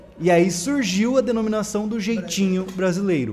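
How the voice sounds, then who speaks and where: A man is speaking. His voice is high in pitch. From Brazil. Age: 20s. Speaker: podcast host. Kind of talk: casual chat. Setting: live stream.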